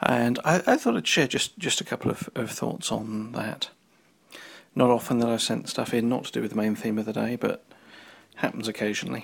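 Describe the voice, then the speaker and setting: A man talks at a fairly quick pace in a medium pitch with vocal fry and ordinary pitch variation. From London, England. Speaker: listener who sends in a comment. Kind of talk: recorded listener comment. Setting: recorded message.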